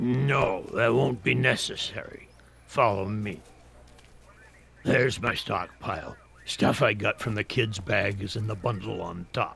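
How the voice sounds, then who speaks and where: A put-on character voice from a man, raspy and fairly low-pitched, at a fairly slow pace with long, frequent pauses. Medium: video game. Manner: combative, suspicious.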